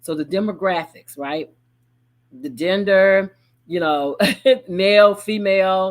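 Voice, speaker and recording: A woman of medium pitch with a Southern US accent, very slow pace and fairly even intonation, on a very clean recording with a silent background. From Chattanooga, Tennessee. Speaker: business consultant and project manager. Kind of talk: live broadcast business talk. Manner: casual, conversational.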